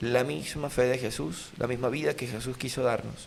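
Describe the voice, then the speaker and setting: A man with a Venezuelan accent at a moderate pace, with audible room echo. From Venezuela, Lara state (Sarare). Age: 30s. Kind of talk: casual interview chat.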